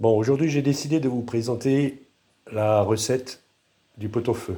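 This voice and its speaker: The recording is very clean, with a silent background. A man speaks in a dark, mellow tone that is somewhat breathy. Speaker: home cooking video creator. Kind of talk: cooking tutorial. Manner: halting, with fillers and repetitions.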